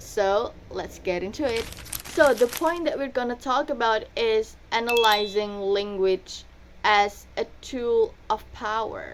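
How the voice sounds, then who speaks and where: A woman's fairly high pitch with ordinary pitch variation, at a very slow pace. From Indonesia, Surabaya (East Java). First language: Indonesian/Javanese. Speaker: university student. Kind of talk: student presentation. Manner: casual, conversational.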